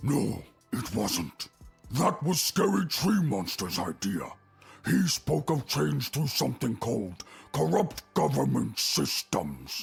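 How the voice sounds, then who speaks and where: Growling in a put-on character voice, a man speaks fairly slowly at a fairly low pitch as music plays in the background. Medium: video game. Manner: broken grammar, simple.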